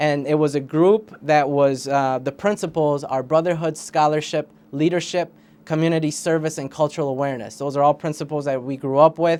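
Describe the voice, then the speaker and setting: A man whose voice sits fairly high keeps his intonation fairly even. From Puerto Rico, raised in St. Paul, Minnesota from third grade. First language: Spanish. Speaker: school board candidate. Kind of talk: interview.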